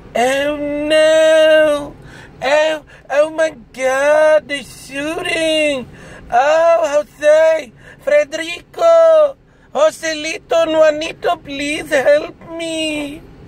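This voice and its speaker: This put-on character voice is high-pitched and moves at a very slow pace. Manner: frantic, panicked, mocking.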